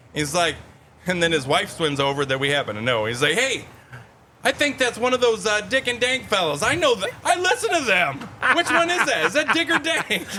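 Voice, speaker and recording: Over noticeable background noise, a man with an American accent uses a raised, projected voice, high in pitch with very wide pitch swings, at a fairly quick pace. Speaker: podcast co-host. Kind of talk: casual chat. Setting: outdoors. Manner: loud.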